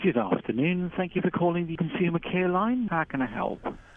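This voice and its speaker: A robotic, put-on character voice sits at a middle pitch and moves fairly quickly. Background noise is clearly heard. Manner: polite, scripted, robotic like a recording.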